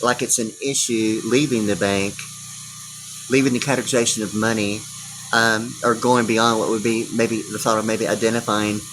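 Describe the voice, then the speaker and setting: A man's fairly low, monotone voice with flat intonation at a moderate pace, amid noticeable background noise. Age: 60s. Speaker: video blogger. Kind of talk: rambling monologue. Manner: halting, many fillers and repetitions.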